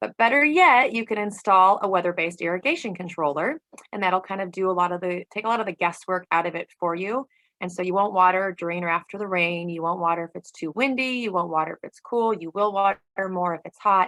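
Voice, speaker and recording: In a bright, sharp tone at medium pitch, a woman races along at a very fast pace, the sound dry and close with no echo. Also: ordinary pitch variation. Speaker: water conservation presenter. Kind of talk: online class presentation.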